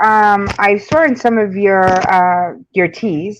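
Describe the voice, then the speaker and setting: A very slow pace against a quiet background. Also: woman. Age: 50s. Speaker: YouTube interviewer. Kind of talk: casual chat.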